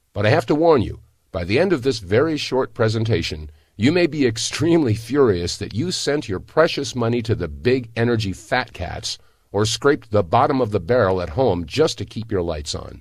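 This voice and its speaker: At a moderate pace, a man with a medium pitch and vocal fry swings his pitch very widely. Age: 60s. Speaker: product promoter. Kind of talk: sales pitch. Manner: animated.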